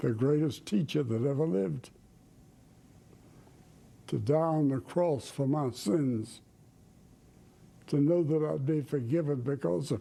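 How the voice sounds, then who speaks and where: Dark, mellow tone from a man with a Southern US accent, fairly high in pitch, with ordinary pitch variation, very even loudness, a fairly slow pace and long, frequent pauses. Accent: Southern American. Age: 90s; old. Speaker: evangelist preacher. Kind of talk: interview answer.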